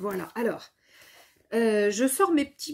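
A woman speaks at a medium pitch with a slightly husky edge. Her tone is dark and mellow.

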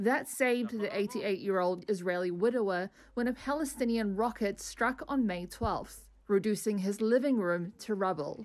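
With hardly any pauses, a woman at a medium pitch talks in a plain, everyday voice. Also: ordinary pitch variation, moderate pace. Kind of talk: news report narration.

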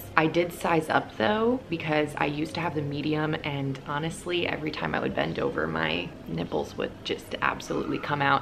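A woman's very deep, low pitch and lively intonation at a very fast pace, amid noticeable background noise. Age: 20s. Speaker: fashion and lifestyle YouTuber; fashion vlogger. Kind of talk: casual vlog-style haul. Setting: hotel room on vacation. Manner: animated. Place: home room.

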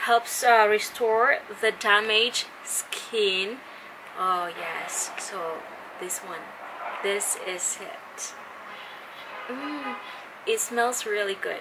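Over noticeable background noise, a woman with a Filipino accent speaks at a very slow pace and a fairly high pitch, with ordinary pitch variation, big swings in loudness, and long, frequent pauses. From Philippines. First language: Tagalog. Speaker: beauty vlogger. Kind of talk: product review. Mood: cheerful, friendly. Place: home room. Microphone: phone near.

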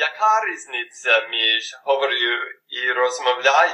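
With an English accent, a man speaks at a very slow pace. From United States. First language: English (speaking Ukrainian). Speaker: language learner. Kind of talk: scripted dialogue.

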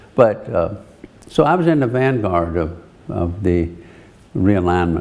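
A man speaks with a very deep, low pitch. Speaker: retiring senator. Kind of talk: interview answer. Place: office. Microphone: lapel.

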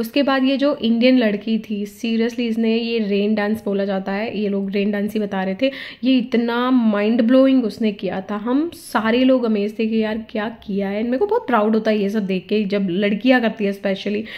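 Fairly even intonation and a slightly mellow tone carry the speech, with few pauses. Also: woman, fairly high pitch for a woman, moderate pace.

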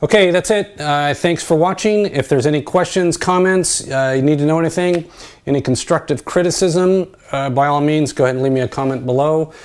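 With hardly any pauses, a man talks at a fairly quick pace using ordinary pitch variation. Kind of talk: casual tutorial narration. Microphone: phone near.

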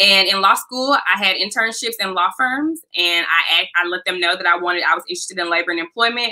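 At a fairly quick pace with hardly any pauses, a woman with an American accent speaks at a medium pitch with ordinary pitch variation and a bright, sharp tone, against a quiet background. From US South, Memphis, Tennessee. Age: 20s. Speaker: employment attorney. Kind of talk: interview. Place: home room.

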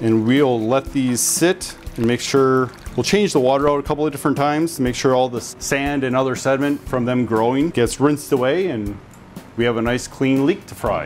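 Over faint background music, the speaker talks at a fairly quick pace with ordinary pitch variation. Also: man. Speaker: chef host. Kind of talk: cooking tutorial. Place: kitchen. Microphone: lapel.

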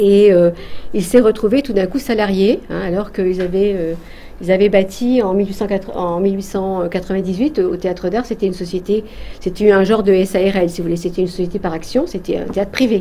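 This woman's voice sits at a medium pitch, and her pace is moderate. Her intonation is fairly even. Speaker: theatre researcher. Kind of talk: talk to an audience. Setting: stage with audience. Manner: hesitant.

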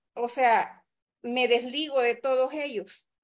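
Against a quiet background, a woman speaks at a high pitch with fairly even intonation. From El Salvador. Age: 40s. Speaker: physician and mayoral candidate; candidate. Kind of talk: interview. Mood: earnest, critical political talk. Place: home room. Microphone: video call.

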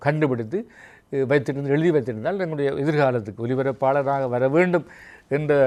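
A man speaks with an unremarkable speaking voice at a fairly high pitch. His loudness stays very even, and his pitch varies in an ordinary way. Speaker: veteran radio broadcaster and writer. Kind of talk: interview.

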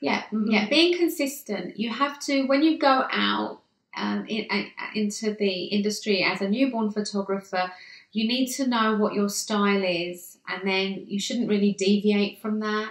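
A woman with a British accent speaks in a bubbly tone at a moderate pace, her pitch varying in an ordinary way, with audible room echo and a quiet background. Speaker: newborn photographer. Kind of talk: interview answer. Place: home room.

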